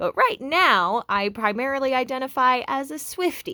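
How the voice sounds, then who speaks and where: The voice is loud, with a bright, sharp tone. Its pitch swings very widely. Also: woman. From Canada. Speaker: graduate student. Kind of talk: scripted presentation. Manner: animated.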